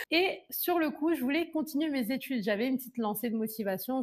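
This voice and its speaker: A woman talks at a fairly quick pace. Her voice is high-pitched, with lively intonation. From France and Ivory Coast. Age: 20s. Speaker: beauty entrepreneur and YouTuber. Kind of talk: personal storytelling vlog. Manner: casual, conversational.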